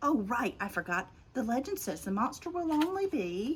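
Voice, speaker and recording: Putting on a character voice, a woman speaks at a moderate pace with a high pitch that swings very widely. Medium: read story.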